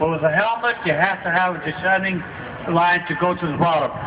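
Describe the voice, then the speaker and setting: A man with an American accent speaks at a high pitch and a moderate pace. Audible room echo and noticeable background noise are present. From Tarpon Springs, Florida, Greek community. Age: 80s+. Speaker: retired sponge diver. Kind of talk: talk to museum audience with Q&A. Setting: stage with audience.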